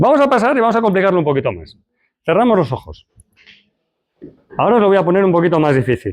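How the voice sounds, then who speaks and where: A man with a high pitch makes very wide pitch swings. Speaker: lecturer. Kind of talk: lecture; guided exercise.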